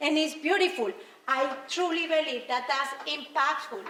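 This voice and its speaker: A woman with a Spanish accent speaks in a high, raised, projected voice, with audible echo from the room. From Colombia. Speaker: motivational speaker. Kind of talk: motivational speech.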